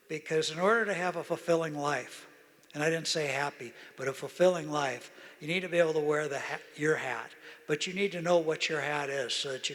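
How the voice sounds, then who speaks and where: A man at fairly high pitch with fairly even intonation, amid noticeable background noise. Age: 80s+. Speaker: retired business executive. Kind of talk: interview on stage. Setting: stage with audience.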